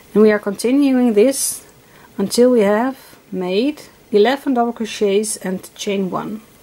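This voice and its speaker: Over noticeable background noise, a woman with a Dutch accent speaks fairly slowly at a fairly high pitch with ordinary pitch variation. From Netherlands. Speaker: crochet teacher. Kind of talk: tutorial. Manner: halting, many fillers; stuttering at times.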